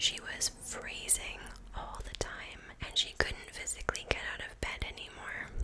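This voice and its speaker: A woman whispering. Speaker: storyteller. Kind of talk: true crime storytelling. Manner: soft, hushed ASMR storytelling voice. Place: home room. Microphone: studio mic.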